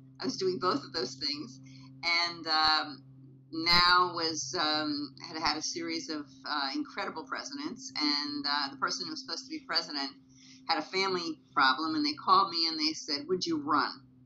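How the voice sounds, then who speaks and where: Music plays in the background as a woman speaks in a very deep, low pitch. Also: lively intonation, moderate pace. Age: 70s. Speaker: women's rights activist. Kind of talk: interview. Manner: halting.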